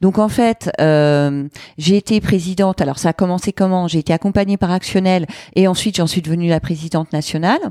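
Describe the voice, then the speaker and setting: A woman's medium-pitched voice with a dark, mellow tone, ordinary pitch variation, very even loudness and a moderate pace, in a dry, close sound with no echo. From France, various regions; Lyon since teens. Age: 40s. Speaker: entrepreneur and gender equality advocate. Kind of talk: casual interview. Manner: hesitant, many fillers.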